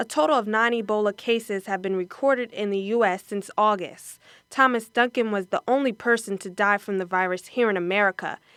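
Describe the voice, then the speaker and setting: A woman's medium-pitched voice, an ordinary speaking voice, with ordinary pitch variation at a moderate pace, dry and close with no echo, on a very clean recording with a silent background. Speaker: news anchor and reporter. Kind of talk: television news anchor and reporter delivery.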